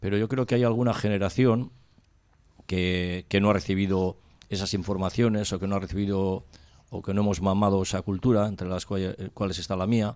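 This is a man with a normal speaking voice, fairly low in pitch. He talks at a moderate pace with fairly even intonation. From Spain, Cáceres (Extremadura). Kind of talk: casual radio panel discussion.

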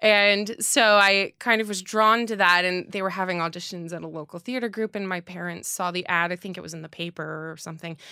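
On a very clean recording with a silent background, a woman speaks in a cheerful, bright, sharp tone with hardly any pauses and big swings in loudness. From US Northeast (New Jersey). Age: 30s. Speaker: opera singer. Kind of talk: interview. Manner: cheerful, laughs often.

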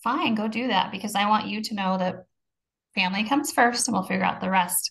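A woman's unremarkable speaking voice at a medium pitch, with ordinary pitch variation. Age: 40s. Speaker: podcast co-host on sobriety, manager at work. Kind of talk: casual chat.

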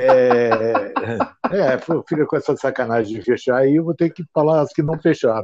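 A man speaks at a fairly high pitch with a dark, mellow tone and ordinary pitch variation. The sound is dry and close with no echo, over a quiet background. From Brazil, Ribeirão Preto (São Paulo state). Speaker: retail consultant and author. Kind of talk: interview. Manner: animated.

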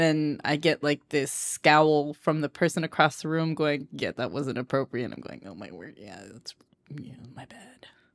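A woman with a very deep, low pitch speaks in a playful tone with a Southern California accent, recorded very cleanly against a silent background with a dry, close sound and no echo. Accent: Southern California Valley Girl. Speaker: podcast host. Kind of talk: casual chat. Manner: laughs often, playful.

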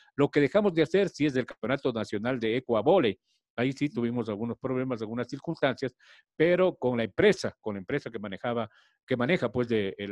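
A man speaks at a very fast pace and a medium pitch, with lively intonation. The sound is dry and close with no echo, over a quiet background. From Ecuador, Riobamba (Chimborazo highlands). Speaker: sports journalist. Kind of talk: interview.

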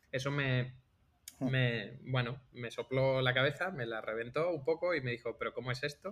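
Medium pitch, a moderate pace and ordinary pitch variation in a man's speech, a plain, everyday voice. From Andalusia, Algeciras (Cádiz). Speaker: podcast host, software engineer. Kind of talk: casual chat.

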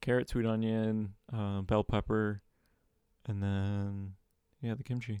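A man speaks very slowly with long, frequent pauses, in a fairly low, dark, mellow voice. His intonation is monotone and flat, and the sound is dry and close with no echo. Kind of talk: casual chat.

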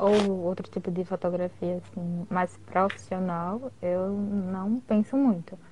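A woman talks very slowly at a mid-range pitch. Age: 20s. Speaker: guest, dentistry student and partner of host. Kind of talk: casual live chat. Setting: live video stream. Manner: nervous at first, joking.

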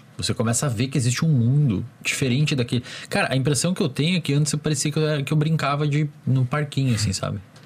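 Somewhat breathy speech moves at a fairly quick pace, with ordinary pitch variation and very even loudness. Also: man. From small town in the Brazilian interior. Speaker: psychologist. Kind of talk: casual chat.

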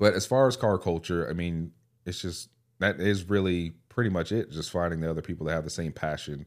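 An American accent comes through on a very clean recording with a silent background. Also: man, very deep, low pitch for a man, ordinary pitch variation. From California. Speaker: YouTuber and former delivery driver. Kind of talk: casual chat.

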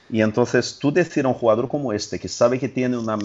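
A man's voice in a Portuguese accent, with ordinary pitch variation. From Brazil. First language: Portuguese (speaking Spanish). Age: 40s. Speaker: sports journalist. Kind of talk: casual chat.

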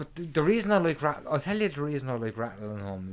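An Irish-accented man's voice with very wide swings in pitch. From Ireland. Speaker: podcast co-host. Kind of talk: casual chat. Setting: home recording. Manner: halting.

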